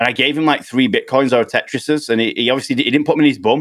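A man talks very fast with a British accent. His intonation is fairly even. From United Kingdom. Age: 30s. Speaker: video game streamer. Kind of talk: casual chat.

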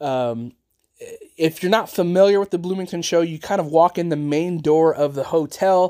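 A man with a high pitch and a dark, mellow tone speaks at a moderate pace. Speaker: farm toy podcaster and dealer. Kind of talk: casual monologue.

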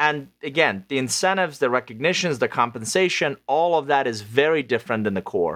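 Against a silent background in a very clean recording, a man with a normal speaking voice talks at a fairly quick pace with hardly any pauses, his pitch fairly high, his intonation lively and his loudness very even. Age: 50s. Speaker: author and business consultant. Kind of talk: interview.

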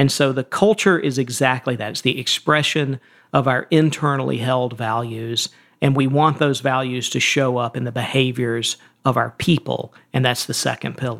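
A man's medium-pitched voice at a moderate pace, fairly even in intonation, an ordinary speaking voice. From Georgia, US South. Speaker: CEO and author. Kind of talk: interview conversation.

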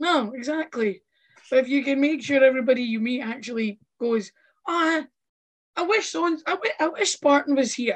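Against a quiet background, a woman speaks in a Scottish accent at a high pitch and a moderate pace. Her intonation is lively, and she takes long, frequent pauses. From Scotland, Fife (Kirkcaldy). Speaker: pro wrestler. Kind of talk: casual chat.

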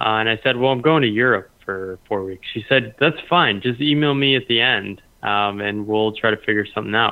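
An unremarkable speaking voice belongs to a man with an American accent and a fairly low pitch. He keeps a moderate pace with hardly any pauses and ordinary pitch variation. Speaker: former strategy consultant, freelancer. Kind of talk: interview.

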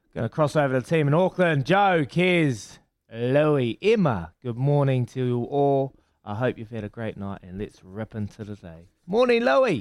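Very wide pitch swings and big swings in loudness mark this man's speech in a New Zealand accent, on a very clean recording with a silent background. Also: medium pitch for a man, moderate pace. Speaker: sports radio host. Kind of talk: breakfast radio show. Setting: radio studio. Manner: animated.

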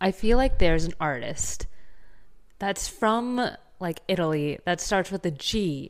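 A woman with a Southern Californian accent, medium in pitch, animated in tone and lively in intonation, at a fairly slow pace with long, frequent pauses, on a very clean recording with a silent background. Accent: Valley Girl American. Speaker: podcast co-host. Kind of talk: casual chat. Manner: animated, laughs often.

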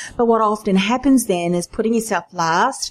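This is an ordinary speaking voice with lively intonation. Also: woman. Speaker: podcast host. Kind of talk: interview, business podcast.

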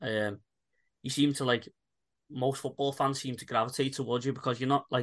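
He talks at a very fast pace in a medium pitch. His intonation is monotone and flat. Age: 30s. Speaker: podcast host. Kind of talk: casual chat.

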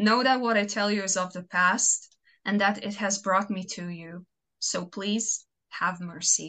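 Against a quiet background, a woman talks at a fairly slow pace in a medium pitch, her bright, sharp tone kept in fairly even intonation. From Croatia. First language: Croatian. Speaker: fanfiction author. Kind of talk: casual interview chat.

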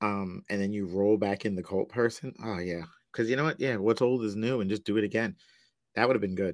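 Speaking fairly quickly with an American accent, a man uses a fairly low pitch and fairly even intonation over a quiet background. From US Northeast, Long Island, New York. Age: 40s. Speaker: podcaster and public school teacher. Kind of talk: casual chat.

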